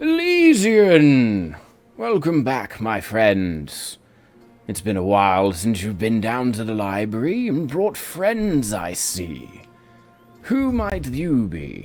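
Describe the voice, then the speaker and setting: A loud, booming, resonant put-on character voice from a man at medium pitch, very slow, with faint music in the background. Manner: warm, wise, welcoming.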